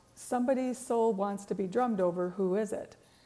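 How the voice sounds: A woman's booming put-on character voice, fairly high in pitch, at a fairly quick pace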